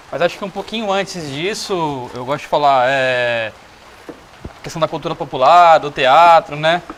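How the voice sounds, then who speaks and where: A man's fairly high pitch with ordinary variation at a fairly slow pace, over noticeable background noise. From Cajamar, São Paulo state, Brazil. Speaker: communicator and musician. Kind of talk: casual chat.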